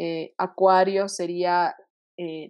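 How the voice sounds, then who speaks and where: A woman with a fairly low pitch against a quiet background. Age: 20s. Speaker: medical student and astrology enthusiast. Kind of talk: casual explanatory chat. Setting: video call.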